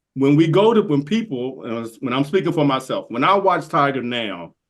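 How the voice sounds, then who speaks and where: Over a quiet background, a voice with vocal fry moves at a moderate pace through very wide pitch swings. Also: man. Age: 60s. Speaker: golf podcaster. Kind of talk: casual chat. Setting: podcast recording.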